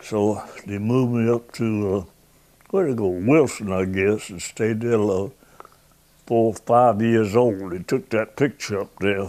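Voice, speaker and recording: A man with a South Carolina accent speaks at a fairly slow pace. His tone is dark and mellow, his pitch fairly low. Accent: Southern US (South Carolina). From US South. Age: 90s. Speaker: war veteran. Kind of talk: oral history interview. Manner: halting.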